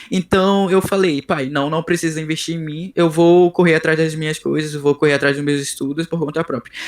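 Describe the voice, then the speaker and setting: A man speaks at a fairly quick pace with a fairly high pitch. His intonation stays fairly even, and the sound is dry and close with no echo. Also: hardly any pauses. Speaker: software developer. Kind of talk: interview. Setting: video call. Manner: halting.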